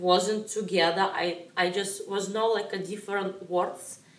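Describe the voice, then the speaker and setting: In a Russian accent, a woman speaks at a fairly slow pace and medium pitch, her intonation monotone and flat. Noticeable background noise and audible room echo fill the recording. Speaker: ballroom dance teacher. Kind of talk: interview. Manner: halting.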